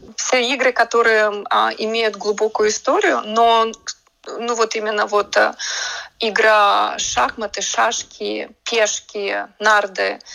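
A woman with a fairly high voice speaks at a very slow pace, her intonation fairly even. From Latvia, Riga. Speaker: artist. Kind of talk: radio interview. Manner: hesitant, with fillers.

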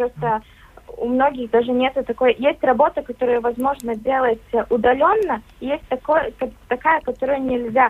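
Speaking at a moderate pace with long, frequent pauses, a woman uses a high pitch. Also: ordinary pitch variation. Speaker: young farmers club member. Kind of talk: radio interview. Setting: remote line.

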